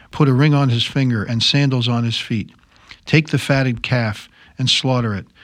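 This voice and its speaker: In a plain, everyday voice, a man speaks at a moderate pace and medium pitch with fairly even intonation on a very clean recording with a silent background. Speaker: Bible discussion panelist. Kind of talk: reading aloud and discussion. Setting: studio.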